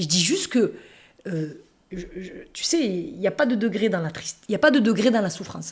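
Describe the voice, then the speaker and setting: A woman with an animated tone and a somewhat breathy voice speaks at a moderate pace in a very clean recording with a silent background. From France, Toulouse. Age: 40s. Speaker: interviewee sharing life story. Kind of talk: casual interview conversation.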